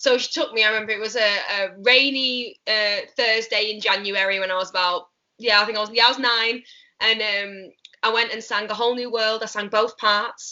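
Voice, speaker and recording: Speaking in a Mancunian accent, a woman with a fairly high pitch talks at a moderate pace in a monotone, flat intonation. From northern England, Manchester. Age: 20s. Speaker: musical theatre actress. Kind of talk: casual interview chat. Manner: chatty, many fillers like um and like.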